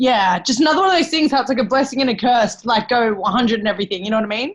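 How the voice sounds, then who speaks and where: Animated and lively in intonation, a woman talks at a very fast pace with a high pitch. Her loudness stays very even. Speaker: personal trainer. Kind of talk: casual chat. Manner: loud, yelling.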